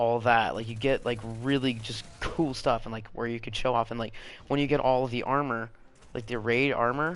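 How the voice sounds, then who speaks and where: He talks at a moderate pace in an unremarkable speaking voice. This man's pitch is medium, and his intonation is fairly even. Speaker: gaming video creator. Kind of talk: gameplay commentary rant.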